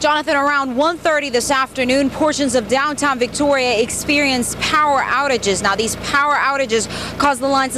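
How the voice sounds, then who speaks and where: Over noticeable background noise, a woman with an American accent talks fairly quickly in a high pitch with fairly even intonation. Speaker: news anchor and reporter. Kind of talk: field reporter live stand-up.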